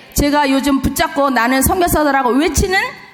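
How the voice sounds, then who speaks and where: Amid noticeable background noise and audible room echo, a woman speaks in a high pitch with an animated tone. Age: 60s. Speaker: missionary. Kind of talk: sermon. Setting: church.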